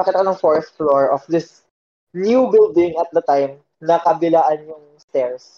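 A man with a high pitch and a dark, mellow tone speaks at a fairly slow pace. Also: ordinary pitch variation. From Philippines. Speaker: IT worker. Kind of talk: casual chat.

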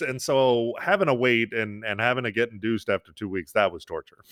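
Very fast speech comes from a man with an American accent. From New York. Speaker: father and social media creator. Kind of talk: podcast interview.

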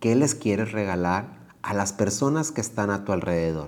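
This is an unremarkable speaking voice from a man with a fairly low pitch. His intonation is lively and his pace moderate. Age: 40s. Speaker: yoga teacher. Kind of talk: guided reflection talk.

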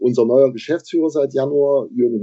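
A fairly high-pitched male voice, an ordinary speaking voice, delivered at a moderate pace. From Saxony, Bautzen. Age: 50s. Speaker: football club board member. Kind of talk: podcast interview.

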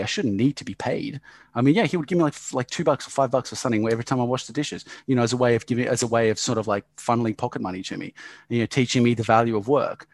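A man with an Australian accent talks at a very fast pace, with medium pitch and lively intonation. The sound is dry and close, with no echo. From Yugoslavia, raised in Australia. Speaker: business owner. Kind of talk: casual chat.

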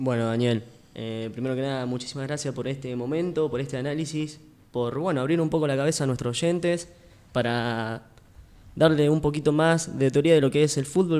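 A plain, everyday voice from a man, fairly high-pitched and at a fairly quick pace. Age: 20s. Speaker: radio sports show host. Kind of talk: casual sports radio panel.

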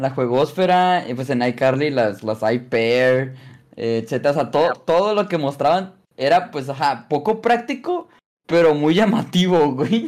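A man's fairly high voice, fairly slow delivery and lively intonation. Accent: Mexican. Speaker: podcast co-host. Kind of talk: casual chat.

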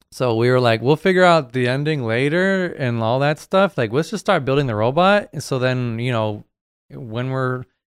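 In a dry, close sound with no echo, a man of medium pitch talks at a moderate pace in a plain, everyday voice. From New Hampshire, US. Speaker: muralist. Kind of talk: casual chat.

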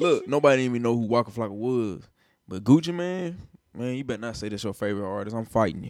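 With a Nashville accent, a man talks at a very fast pace, his medium-pitched voice full of lively intonation. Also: big swings in loudness. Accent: Southern US, Nashville. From US South, Nashville, Tennessee. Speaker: rapper and music producer. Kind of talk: casual chat.

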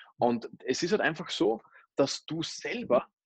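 A man's unremarkable speaking voice, fairly high-pitched and at a fairly slow pace, dry and close with no echo. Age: 20s. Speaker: network marketer. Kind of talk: interview. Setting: remote call.

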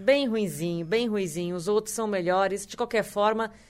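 On a very clean recording with a silent background, a woman uses a normal speaking voice at a fairly high pitch with ordinary pitch variation. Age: 40s. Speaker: podcast co-host. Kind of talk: casual chat.

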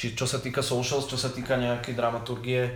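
Audible room echo surrounds a man talking at a fairly quick pace. His voice is somewhat breathy. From Slovakia, Záhorie (Malacky). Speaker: bistro owner and club promoter. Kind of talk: casual chat.

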